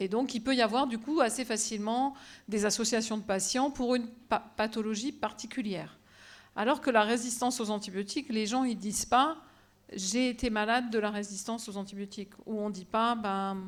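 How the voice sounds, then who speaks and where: With a fairly high pitch and fairly even intonation, a woman speaks at a moderate pace while her loudness swings widely. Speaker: professor of bacteriology. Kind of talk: lecture. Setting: auditorium with audience.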